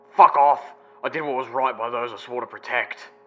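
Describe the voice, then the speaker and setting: A man puts on a gruff character voice. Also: medium pitch for a man, fairly quick pace, big swings in loudness. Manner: irritated, angry.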